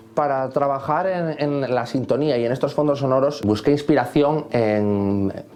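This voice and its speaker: A man talks fairly slowly, with ordinary pitch variation, as music plays in the background. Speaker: composer. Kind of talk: interview answer.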